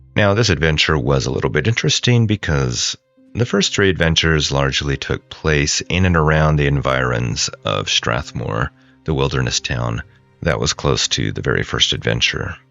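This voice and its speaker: A man with a very deep, low pitch and lively intonation, over music in the background. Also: moderate pace. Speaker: podcast host and solo tabletop game master. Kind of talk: casual explanatory talk about a solo role-playing campaign.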